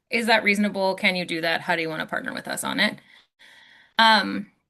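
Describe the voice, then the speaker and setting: Over a quiet background, a woman talks fairly quickly in a bright, sharp tone with ordinary pitch variation. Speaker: state council staff presenter. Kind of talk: presentation at online meeting. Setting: video call. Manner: fast.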